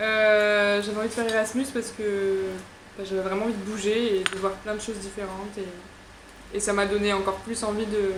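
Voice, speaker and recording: In a slight southern French accent, a woman speaks at a medium pitch with monotone, flat intonation, amid noticeable background noise and audible room echo. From southern France. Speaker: psychology student. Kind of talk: casual chat.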